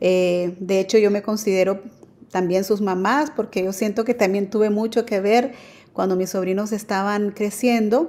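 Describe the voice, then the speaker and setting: A fairly slow pace in a woman's dark, mellow tone. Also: fairly even intonation. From Nicaragua, then New Orleans from age 10. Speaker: adoptive mother sharing her story; guest. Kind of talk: testimony. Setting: remote connection. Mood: calm, personal, warm. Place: home room.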